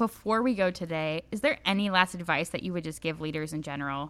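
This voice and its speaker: On a very clean recording with a silent background, a woman with a fairly low pitch speaks in a normal speaking voice at a moderate pace, with ordinary pitch variation. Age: 20s. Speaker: youth ministry leader and podcast host. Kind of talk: casual interview chat.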